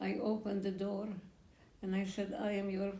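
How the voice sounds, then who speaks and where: A woman with a Polish accent talks at a moderate pace. Noticeable background noise and audible room echo are present. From Poland. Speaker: Holocaust survivor. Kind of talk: testimony. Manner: halting.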